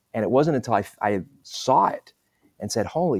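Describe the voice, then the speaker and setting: The recording is very clean, with a silent background. A man with an unremarkable speaking voice talks at a moderate pace with ordinary pitch variation. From London, England, then Southern California. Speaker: executive coach and author. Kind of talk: interview.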